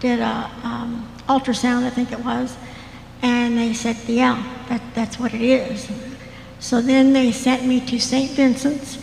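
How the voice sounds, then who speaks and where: A woman's high voice, monotone and flat, at a fairly slow pace with an American accent and noticeable background noise. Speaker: church member sharing story. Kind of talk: testimony.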